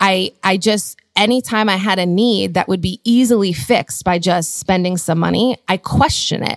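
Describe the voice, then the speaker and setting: A woman speaks at a medium pitch and a moderate pace, with ordinary pitch variation and vocal fry. The sound is dry and close, with no echo. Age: 30s. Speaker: conference founder and podcast host. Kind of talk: casual chat.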